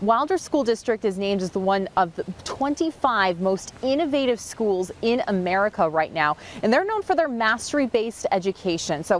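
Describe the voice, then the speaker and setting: The sound is dry with no echo as a woman speaks with hardly any pauses. Her pitch makes very wide swings. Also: moderate pace. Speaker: TV news reporter. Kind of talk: live news report. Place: street.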